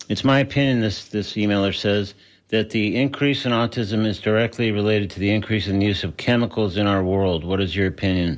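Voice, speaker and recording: Against a quiet background, a man with a plain, everyday voice talks at a fairly quick pace and fairly low pitch with ordinary pitch variation. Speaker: radio host. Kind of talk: radio interview. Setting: radio studio.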